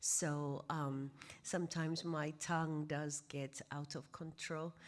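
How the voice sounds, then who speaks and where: A woman with a Kenyan accent, very deep and low in pitch, very slow and fairly even in intonation, on a very clean recording with a silent background. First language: Kimeru. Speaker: pastor. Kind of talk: lecture. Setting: stage with audience.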